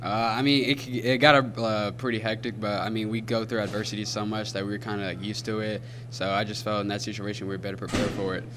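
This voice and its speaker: A man talks at a very fast pace in a fairly low, monotone, flat voice, with noticeable background noise. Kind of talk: interview answer. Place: hall. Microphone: handheld.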